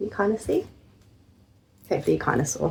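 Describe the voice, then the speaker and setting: A woman with an English accent, at a fairly quick pace. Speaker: knitting vlogger. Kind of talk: casual vlog. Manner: low energy.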